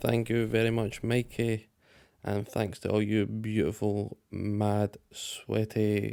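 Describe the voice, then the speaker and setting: A man with a British accent speaks in a fairly low pitch and a dark, mellow tone. His intonation is flat and monotone, in a very clean recording with a silent background. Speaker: podcast co-host. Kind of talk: casual chat.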